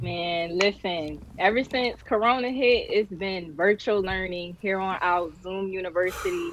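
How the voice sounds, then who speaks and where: Using a normal speaking voice, a woman with an American accent talks fairly slowly with hardly any pauses, at a medium pitch with ordinary pitch variation. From Philadelphia. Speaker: college student, model and actress. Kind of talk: interview.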